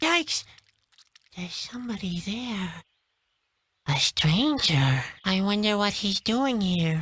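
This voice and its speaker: A female-sounding, put-on character voice at a middle pitch. It moves at a fairly slow pace with long, frequent pauses. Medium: video game. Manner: dry, sarcastic, gloomy.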